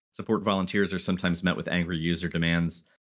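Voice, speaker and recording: This man has an American accent. His very deep, low voice moves at a very fast pace. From Philadelphia, US. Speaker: podcast co-host. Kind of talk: casual podcast chat.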